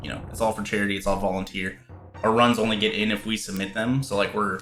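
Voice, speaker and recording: Over music in the background, a man speaks at a fairly low pitch in a monotone, flat intonation. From US, Washington DC area. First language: Spanish. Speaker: gaming streamer. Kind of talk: casual chat.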